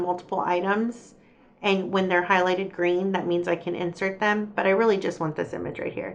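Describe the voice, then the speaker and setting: An unremarkable speaking voice from a woman, medium in pitch, at a fairly quick pace. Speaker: crafting YouTuber. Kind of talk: tutorial.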